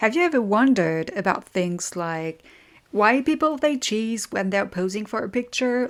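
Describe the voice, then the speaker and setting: A woman speaks with a French accent and lively intonation. The recording is very clean, with a silent background. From France. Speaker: podcast host. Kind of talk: informative podcast monologue. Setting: at a desk.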